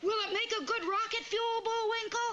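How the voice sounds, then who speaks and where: This is a cartoonish character voice, squeaky and extremely high in pitch. It moves at a moderate pace. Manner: earnest, bright.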